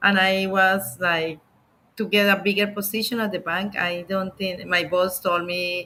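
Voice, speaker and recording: A woman with a Colombian accent speaks at a fairly slow pace and a medium pitch. Her tone is bright and sharp, her intonation monotone and flat. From Colombia, Bogota. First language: Spanish. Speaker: immigration lawyer. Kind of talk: interview. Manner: halting.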